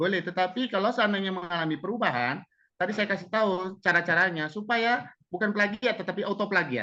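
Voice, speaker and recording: Raised and projected, a man's high-pitched voice has a bright, sharp tone and ordinary pitch variation, racing at a very fast pace over a quiet background. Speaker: webinar speaker on textbook writing. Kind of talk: webinar Q&A answer. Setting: online webinar.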